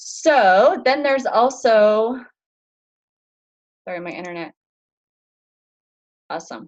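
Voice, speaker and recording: The speaker's pitch swings very widely at a very slow pace. Long pauses come frequently. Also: woman, high pitch for a woman. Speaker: fitness coach. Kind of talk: online group orientation talk. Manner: casual, filler-heavy. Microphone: slow internet connection.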